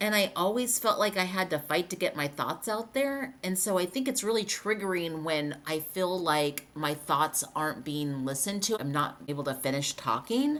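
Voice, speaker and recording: Over noticeable background noise, a woman with a medium-pitched voice talks at a moderate pace with hardly any pauses and very wide pitch swings. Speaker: podcast co-host. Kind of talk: casual podcast chat.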